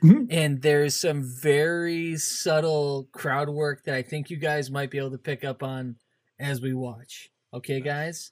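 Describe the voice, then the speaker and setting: An unremarkable speaking voice at a fairly slow pace, on a very clean recording with a silent background. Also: man, fairly high pitch for a man. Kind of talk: infomercial-parody host patter, mock pitchman welcome. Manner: tongue-in-cheek, upbeat and showy, ham-it-up salesman delivery.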